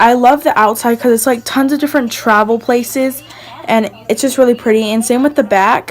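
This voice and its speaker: Noticeable background noise runs under a woman's high-pitched voice. She speaks at a fairly quick pace, her intonation fairly even and her loudness very even. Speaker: beauty vlogger. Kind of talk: makeup collection tutorial. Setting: voiceover at home. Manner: casual, chatty with fillers.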